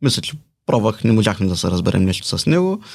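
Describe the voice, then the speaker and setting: A man is speaking. His pitch swings very widely. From Bulgaria, Balchik. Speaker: salesman. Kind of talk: interview.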